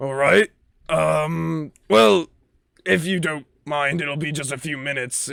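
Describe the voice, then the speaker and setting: A man in a put-on character voice, fairly high in pitch, at a fairly slow pace. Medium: actual play. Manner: gruff, blunt.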